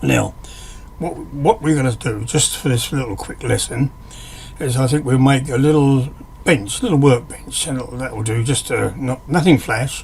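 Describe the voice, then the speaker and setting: A man speaks at a medium pitch. Noticeable background noise runs beneath him. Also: ordinary pitch variation, moderate pace. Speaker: hobbyist woodworker teaching software. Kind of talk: screen-recorded tutorial. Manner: hesitant, with fillers and restarts; casual, conversational.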